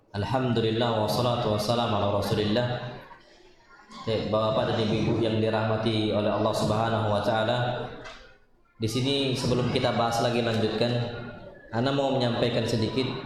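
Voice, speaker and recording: Over noticeable background noise and audible room echo, a man talks at a fairly quick pace in a medium pitch, his intonation monotone and flat and his loudness very even. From North Sumatra (Medan), also long in South Sumatra. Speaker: Islamic preacher. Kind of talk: religious lecture. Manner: casual, conversational.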